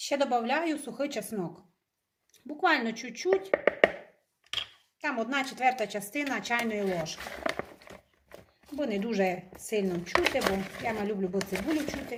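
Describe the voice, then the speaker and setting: Speaking with a Transcarpathian accent, a woman with a fairly high pitch uses lively intonation and takes long, frequent pauses. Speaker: home cook. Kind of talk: cooking tutorial narration.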